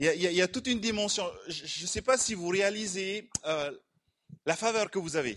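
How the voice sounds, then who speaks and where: Long, frequent pauses break up speech that keeps a moderate pace and ordinary pitch variation. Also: man, high pitch for a man. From Tahiti. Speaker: preacher. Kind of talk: sermon with interpreter.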